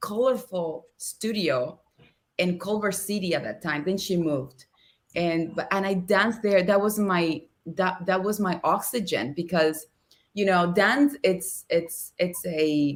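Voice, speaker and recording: A woman with a Spanish accent speaks in a medium-pitched voice. Her pace is fairly slow, with ordinary pitch variation. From Cuba, Havana. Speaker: actress and dancer. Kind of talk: podcast interview. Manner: animated.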